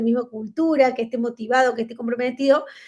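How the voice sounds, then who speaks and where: Noticeable background noise accompanies a woman speaking at a high pitch. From Argentina. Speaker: conference speaker, management consultant. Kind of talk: virtual lecture. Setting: video call. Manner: fast.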